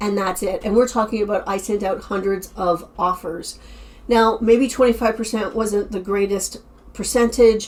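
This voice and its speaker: Over noticeable background noise, a woman with a fairly high pitch and fairly even intonation speaks at a moderate pace. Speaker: online reseller and YouTuber. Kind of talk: casual vlog summary.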